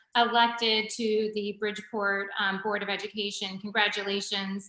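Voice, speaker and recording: Over noticeable background noise, a woman's fairly high voice shows ordinary pitch variation. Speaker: nonprofit founder and CEO. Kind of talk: interviewer hosting a webinar.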